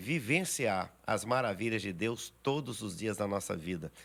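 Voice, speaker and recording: This very clean recording with a silent background has a man speaking at a fairly low pitch with ordinary pitch variation. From Minas Gerais, Brazil (rural). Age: 60s. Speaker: pastor. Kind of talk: podcast interview.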